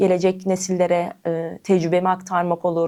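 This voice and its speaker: This woman's voice sits fairly low, with a dark, mellow tone. Her intonation is monotone and flat. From Turkey, Eskişehir. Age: 30s. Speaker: para table tennis athlete. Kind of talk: interview.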